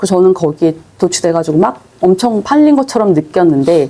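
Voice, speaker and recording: With noticeable background noise, a woman talks at a fairly quick pace in a medium pitch with lively intonation. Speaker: online selling instructor. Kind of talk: lecture. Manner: fast.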